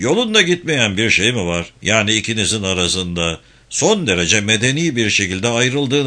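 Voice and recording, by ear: Someone reads text aloud in a natural voice.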